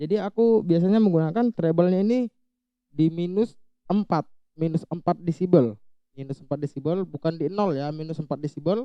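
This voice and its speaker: A man's shrill, high voice at a fairly quick pace with ordinary pitch variation. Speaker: YouTuber, audio gear tutorial maker. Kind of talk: tutorial. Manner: casual, conversational.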